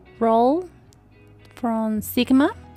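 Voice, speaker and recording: A woman's fairly high voice at a very slow pace, with ordinary pitch variation and music in the background. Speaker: watercolor art teacher. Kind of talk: painting tutorial. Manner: halting, with fillers.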